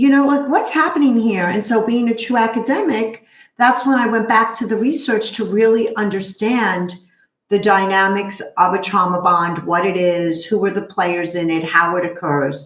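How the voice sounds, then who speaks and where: A woman with a fairly high pitch speaks in a Brooklyn accent. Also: lively intonation, moderate pace. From New York, Brooklyn. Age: 50s. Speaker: therapist. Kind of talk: interview.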